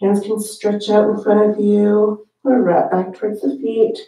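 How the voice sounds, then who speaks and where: Soft-spoken, a woman talks in a dark, mellow tone over a quiet background, with audible room echo. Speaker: yoga teacher. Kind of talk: guided meditation. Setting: online yoga class video. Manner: calm, soothing, slow and gently paced; soft-spoken, with long pauses between cues. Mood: calm, soothing. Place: home room.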